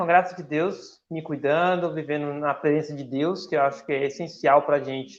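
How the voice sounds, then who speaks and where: Speaking in a normal speaking voice, a man keeps a moderate pace and a fairly high pitch. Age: 30s. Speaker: church volunteer and upholstery worker. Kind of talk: radio interview.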